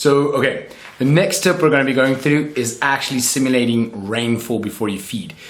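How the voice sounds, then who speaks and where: A man talks at a fairly quick pace, at a medium pitch with ordinary pitch variation. Noticeable background noise and audible room echo surround his voice. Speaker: reptile keeper YouTuber. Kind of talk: tutorial. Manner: casual.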